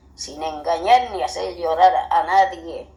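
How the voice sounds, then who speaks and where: A woman delivers her words fairly slowly while music plays in the background. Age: 80s+. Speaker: grandmother sharing family memories. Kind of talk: oral history testimony.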